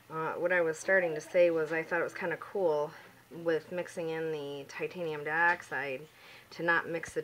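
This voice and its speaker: A soft-spoken woman talks at a moderate pace in a fairly low pitch. Her intonation is flat and monotone. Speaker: home soap maker. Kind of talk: tutorial. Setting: at home.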